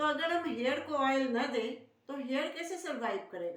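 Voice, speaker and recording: A woman talks in a high voice with lively intonation. Audible room echo surrounds her. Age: 70s. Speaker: Ayurvedic beauty consultant. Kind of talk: tutorial.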